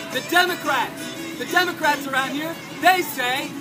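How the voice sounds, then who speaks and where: Over crowd noise in the background, a man with an extremely high pitch uses a raised, projected voice, speaking at a moderate pace with monotone, flat intonation. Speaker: Libertarian political candidate. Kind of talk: political campaign speech. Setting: outdoors, public park with music playing.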